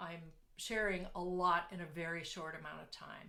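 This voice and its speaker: A woman at medium pitch with a bright, sharp tone, moderate pace, and audible room echo. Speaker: business coach. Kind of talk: online workshop talk. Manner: halting, many fillers.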